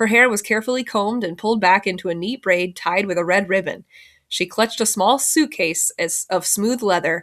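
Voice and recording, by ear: With ordinary pitch variation, someone reads aloud in a natural voice.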